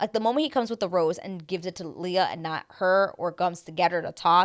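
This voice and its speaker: A woman with an animated tone, a medium pitch and a fairly quick pace, on a very clean recording with a silent background. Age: 30s. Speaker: TV recap youtuber. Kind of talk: casual monologue recap.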